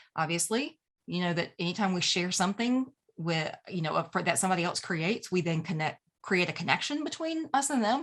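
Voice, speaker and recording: A woman speaks with an American accent. Her pitch makes very wide swings. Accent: Southern US, strong at moments. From US South. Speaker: email marketing coach. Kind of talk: tutorial. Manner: casual and chatty.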